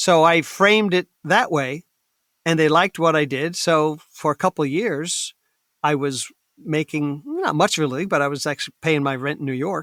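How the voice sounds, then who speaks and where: A man with an ordinary speaking voice talks at a moderate pace, pitched fairly high with ordinary pitch variation. The sound is dry and close with no echo, on a very clean recording with a silent background. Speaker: actor, voice actor, comedian. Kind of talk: interview answer.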